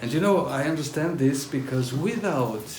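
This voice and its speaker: With a German accent, a man talks at a moderate pace and medium pitch with ordinary pitch variation, amid audible room echo and noticeable background noise. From northern Italy, near Austria (German-speaking). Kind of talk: testimony. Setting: talk to a pilgrim group. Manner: halting, with frequent fillers.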